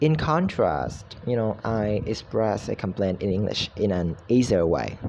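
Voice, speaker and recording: A man with a Vietnamese accent speaks fairly slowly in a fairly low pitch. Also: lively intonation. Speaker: university student. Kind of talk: recorded class assignment. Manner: halting, with fillers.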